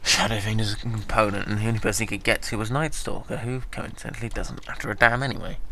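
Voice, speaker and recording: Amid noticeable background noise and audible room echo, a man speaks very fast at a medium pitch with fairly even intonation. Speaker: game commentator. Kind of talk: live commentary. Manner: flat, disinterested-sounding.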